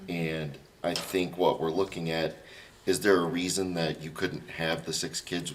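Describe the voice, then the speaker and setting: A man's very deep, low voice with an American accent, fairly even intonation and a moderate pace. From Kansas. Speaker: planning commissioner. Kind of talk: public meeting.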